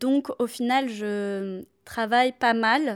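A woman's voice with fairly even intonation on a very clean recording with a silent background. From southern France. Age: 30s. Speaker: activist, former team manager. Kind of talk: interview.

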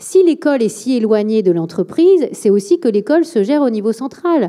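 A woman's dark, mellow voice with very wide pitch swings. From France, Bordeaux area. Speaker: think tank director and author. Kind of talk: public talk and Q&A. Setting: auditorium with live audience.

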